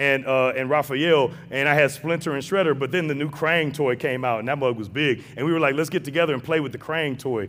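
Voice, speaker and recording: Animated and fairly quick, a man with an American accent talks at a fairly high pitch with hardly any pauses. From St. Louis, Missouri (west/north side). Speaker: guest preacher, seminary professor. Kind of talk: sermon. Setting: church with congregation.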